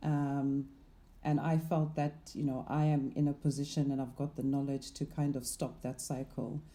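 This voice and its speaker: In a dark, mellow tone, a woman speaks with monotone, flat intonation at a very deep, low pitch. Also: moderate pace. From Zimbabwe. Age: 40s. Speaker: investment manager. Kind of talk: interview conversation.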